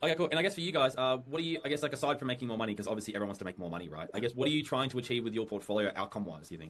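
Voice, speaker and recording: Someone with an Australian accent talks at a very fast pace, with hardly any pauses. The pitch swings very widely. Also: man, medium pitch for a man. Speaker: sales advisor on a recorded call. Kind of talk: sales call. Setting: recorded call. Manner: casual, friendly.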